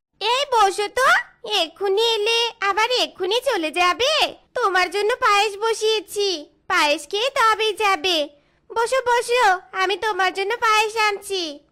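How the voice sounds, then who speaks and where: In a cartoonish character voice, a female-sounding speaker talks at an extremely high pitch and a fairly slow pace. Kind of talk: comic cartoon acting.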